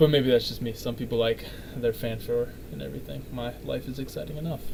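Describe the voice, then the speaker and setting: Loudness swings a lot as a man talks at a very fast pace. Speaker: vlogger reacting to a video. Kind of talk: reaction commentary. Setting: home recording, neighbors above. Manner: quiet; halting.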